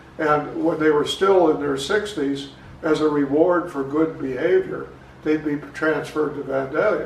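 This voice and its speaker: With an American accent, the speaker talks at a moderate pace with fairly even intonation, amid audible room echo and noticeable background noise. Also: man, fairly high pitch for a man. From southern Illinois, US Midwest. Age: 80s+. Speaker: local historian and author. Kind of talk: interview, personal recollections. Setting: garage, filmed at home.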